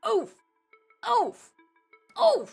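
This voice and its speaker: An extremely high-pitched, put-on character voice. Faint music plays in the background. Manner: short clipped cartoonish grunt imitating a game death sound.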